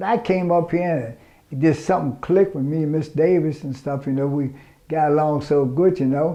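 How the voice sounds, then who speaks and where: A dark, mellow tone at a moderate pace, with an American accent. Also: man. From Washington DC. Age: 60s. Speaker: program client, cook. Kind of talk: testimony.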